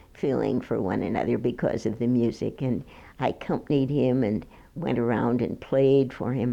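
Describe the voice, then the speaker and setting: A woman with an American accent speaks at a very deep, low pitch with vocal fry. Her tone is dark and mellow, and her pace is moderate. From Minneapolis, Minnesota. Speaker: retired piano teacher. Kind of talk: oral history interview. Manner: halting, with hesitations and restarts.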